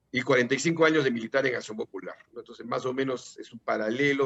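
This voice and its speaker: A man talks at a very fast pace. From Peru. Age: 60s. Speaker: political candidate. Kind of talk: interview. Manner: halting.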